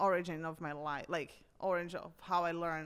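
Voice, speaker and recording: In a very clean recording with a silent background, a woman with a strong Brazilian accent speaks at a moderate pace in a fairly low pitch. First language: Portuguese. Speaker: personal trainer. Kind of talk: casual chat.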